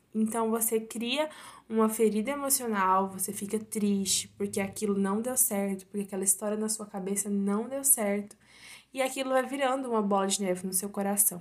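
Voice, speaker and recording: An unremarkable speaking voice belongs to a woman who talks at a moderate pace in a fairly high pitch with fairly even intonation. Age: 19. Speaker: university student, podcast guest. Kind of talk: casual chat about faith.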